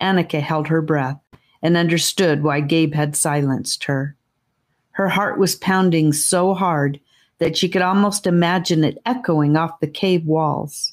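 A woman speaks at a fairly slow pace in a fairly low, menacing tone, her loudness very even and her intonation fairly even. The recording is very clean, with a silent background. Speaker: audiobook narrator. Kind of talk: dramatic audiobook narration, hushed tense storytelling of a fantasy adventure. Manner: suspenseful, hushed, slowed pacing with menacing emphasis on the snake's hiss.

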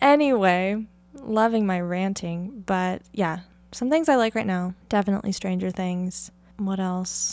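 Her speech unfolds fairly slowly. The woman's pitch shows ordinary variation. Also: very clean recording, silent background. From US Pacific Northwest (Oregon). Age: 20s. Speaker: podcast host. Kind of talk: casual solo monologue.

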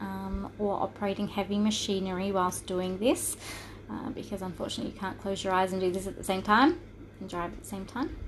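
A woman speaks at a medium pitch. It is an ordinary speaking voice. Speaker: spiritual healer and podcast host. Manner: slow, soothing and reassuring, speaking in calm invitations; warm and conversational, with frequent filler ums and a laugh.

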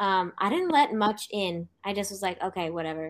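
A woman's normal speaking voice at medium pitch and moderate pace, on a very clean recording with a silent background. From California. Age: 20s. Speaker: cancer survivor. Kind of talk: interview.

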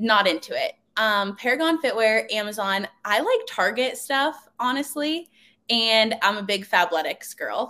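With an American accent, a woman talks in a fairly high pitch with lively intonation and a bright, sharp tone. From Pittsburgh area, US. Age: 20s. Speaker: personal trainer. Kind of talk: casual interview chat.

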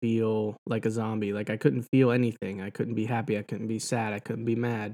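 Speaking with an American accent, a man delivers monotone, flat intonation at a moderate pace in a medium pitch with a dark, mellow tone. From rural Pennsylvania. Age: 20s. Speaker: podcast host. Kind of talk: personal monologue. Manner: halting, many fillers.

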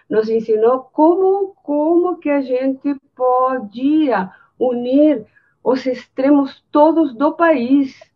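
A woman talks very slowly, her high voice varying in pitch in an ordinary way. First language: Spanish (speaking Portuguese). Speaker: architecture professor. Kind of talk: anecdote in webinar.

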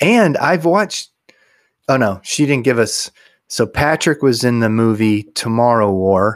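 A man with an American accent at a medium pitch, fairly slow and with lively intonation, his loudness very even. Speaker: podcast co-host. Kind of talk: casual chat, humorous banter. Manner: humorous, jokey.

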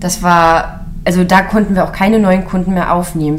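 A woman speaks at a moderate pace and medium pitch with fairly even intonation, with audible room echo and noticeable background noise. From Mecklenburg-Western Pomerania. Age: 30s. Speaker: small business founder, caregiver. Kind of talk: interview.

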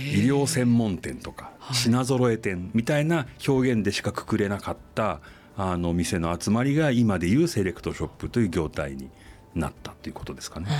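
Very wide pitch swings and big swings in loudness, with music in the background. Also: man, fairly low pitch for a man, moderate pace. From Tokyo. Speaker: fashion company executive. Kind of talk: interview. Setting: studio.

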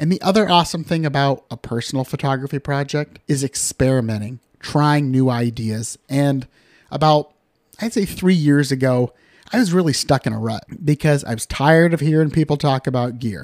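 In a very clean recording with a silent background, a man with a Midwestern American accent speaks at a fairly high pitch. The sound is dry and close with no echo, and his moderate pace comes with ordinary pitch variation. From western Iowa (Harrison County, rural). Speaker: photographer and podcast host. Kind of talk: solo podcast monologue. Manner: casual, conversational with fillers.

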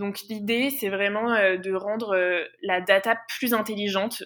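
Bright and sharp in tone, a woman speaks at a medium pitch and a fairly slow pace in a monotone, flat intonation. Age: 20s. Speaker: intern and master's student. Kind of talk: interview.

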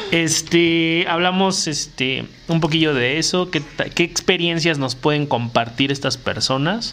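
The speaker talks with a Mexican accent at a fairly slow pace, with ordinary pitch variation. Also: man, fairly high pitch for a man. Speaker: podcast host. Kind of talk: casual chat.

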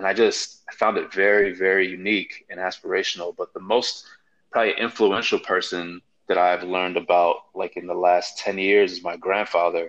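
A man talks with a Chicago accent. His pace is moderate. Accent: Chicago American English. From US Midwest, Chicago, Nigerian family. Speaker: podcast panelist. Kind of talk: casual chat.

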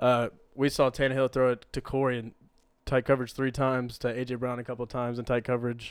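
A man talks at a very fast pace in a medium pitch, his intonation monotone and flat. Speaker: podcast host. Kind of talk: casual sports chat.

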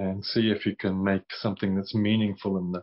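At a fairly slow pace, a man talks in a fairly low pitch. His intonation stays monotone and flat. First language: English (speaking Portuguese). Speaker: Buddhist meditation teacher. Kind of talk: dharma talk. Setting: video call. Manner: halting.

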